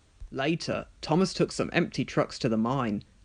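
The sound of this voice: A man talks at a moderate pace with ordinary pitch variation. His tone is slightly mellow.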